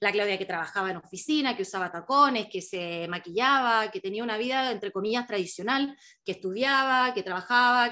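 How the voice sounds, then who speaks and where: With a Chilean accent, a woman talks at a fairly quick pace with hardly any pauses. Her tone is bright and sharp, her pitch variation ordinary, and the background quiet. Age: 30s. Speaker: travel writer and author. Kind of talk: book presentation talk. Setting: video call. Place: home room. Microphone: video call.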